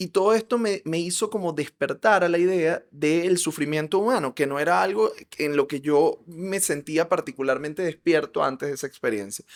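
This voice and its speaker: Speaking with hardly any pauses, a man with a high pitch and an animated tone uses lively intonation, captured in a dry, close sound with no echo on a very clean recording with a silent background. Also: moderate pace. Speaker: psychologist. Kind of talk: interview conversation.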